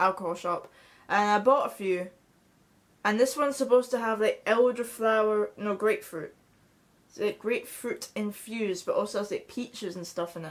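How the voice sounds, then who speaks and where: A woman speaks at a moderate pace in a fairly high voice, with ordinary pitch variation and big swings in loudness. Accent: Scottish. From Scotland. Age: young. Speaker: vlogger. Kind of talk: casual chat. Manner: halting.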